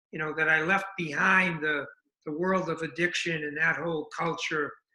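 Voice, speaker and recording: A man with an American accent and a high pitch talks at a fairly quick pace with fairly even intonation. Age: 70s. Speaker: addiction recovery running club founder. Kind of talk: interview. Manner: halting, many fillers.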